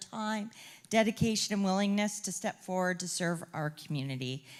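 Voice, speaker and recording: A woman at a fairly quick pace, with lively intonation. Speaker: chamber of commerce CEO, event host. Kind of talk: closing remarks at public forum. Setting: stage with audience, microphone. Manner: loud.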